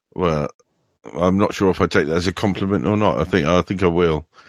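At a fairly quick pace, a man speaks with a very deep, low pitch, vocal fry and ordinary pitch variation. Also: long, frequent pauses. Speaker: podcast host. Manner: casual, chatty.

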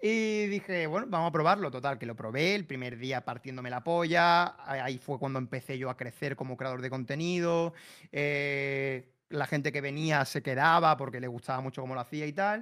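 On a very clean recording with a silent background, a man with a normal speaking voice talks at a moderate pace and a fairly high pitch. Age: 30s. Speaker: streamer. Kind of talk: casual chat.

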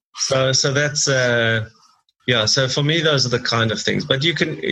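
Bright and sharp in tone, a man speaks at a fairly quick pace. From South Africa, Durban. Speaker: entrepreneur, business incubator CEO. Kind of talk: interview.

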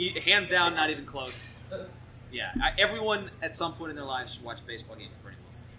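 A man with an American accent talks at a very fast pace, his voice pitched high. His loudness swings widely, with audible room echo and noticeable background noise. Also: lively intonation. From New Jersey. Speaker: baseball reporter. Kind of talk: casual interview. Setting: live audience at a brewery.

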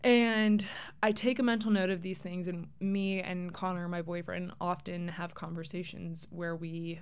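A woman's fairly low, fairly slow voice with fairly even intonation and audible room echo. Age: 20s. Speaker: podcast host and grad student. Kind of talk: casual solo monologue.

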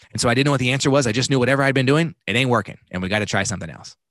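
A man speaks with vocal fry and an American accent over a quiet background. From Texas, Dallas. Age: 30s. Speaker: life coach. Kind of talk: casual chat.

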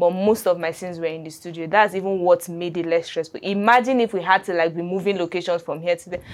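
With a Nigerian accent, a woman speaks very fast with hardly any pauses, at a fairly low pitch and with fairly even intonation. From Nigeria, Adamawa State. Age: 20s. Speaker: filmmaker. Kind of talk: interview.

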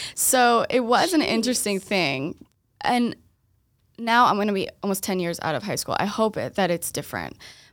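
Her American accent comes through an unremarkable speaking voice as a woman talks at a fairly high pitch and moderate pace with lively intonation, on a very clean recording with a silent background. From Boston area, Massachusetts. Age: 20s. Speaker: esthetician and skincare business owner. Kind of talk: casual interview chat.

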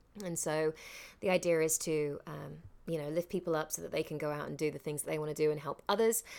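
In a London accent, a woman speaks at a very fast pace. Her pitch is very deep and low, with fairly even intonation. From London, England (Southall). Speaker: actress and voiceover artist. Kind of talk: casual interview chat.

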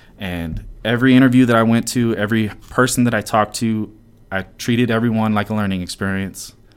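A man's ordinary speaking voice, fairly low in pitch, with ordinary pitch variation at a moderate pace. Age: 30s. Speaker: podcast host, software engineer and former personal trainer. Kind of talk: casual chat.

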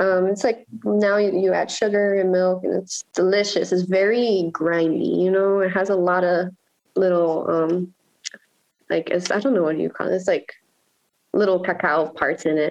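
A woman's normal speaking voice in an American accent, medium in pitch, with fairly even intonation, very even loudness and a moderate pace. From Miami, Florida, Nicaraguan household. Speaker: painter. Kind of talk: interview.

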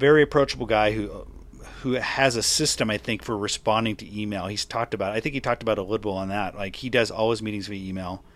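The speaker mumbles at a very fast pace with ordinary pitch variation. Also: man. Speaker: podcast host and writer. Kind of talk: casual interview chat. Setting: remote interview from Seattle. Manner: fast talker, mumbler.

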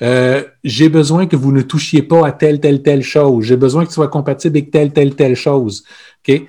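The voice has a dark, mellow tone, with fairly even intonation and very even loudness. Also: man, fairly high pitch for a man. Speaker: podcast co-host, organizational consultant. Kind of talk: casual chat.

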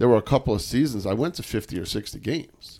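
A man with a plain, everyday voice speaks in an American accent at medium pitch and a fairly quick pace. His pitch varies in an ordinary way, and the recording is very clean with a silent background. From New York. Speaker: sports podcast host. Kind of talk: casual chat.

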